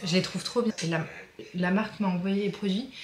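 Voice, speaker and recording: A woman's medium-pitched voice with fairly even intonation over noticeable background noise. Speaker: lifestyle vlogger. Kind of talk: casual vlog. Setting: outdoors.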